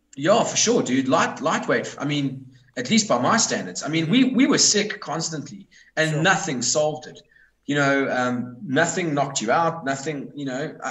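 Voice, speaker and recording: The speech has lively intonation and audible room echo. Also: man, fairly high pitch for a man, moderate pace. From South Africa. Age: 30s. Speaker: metal band musician. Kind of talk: casual chat.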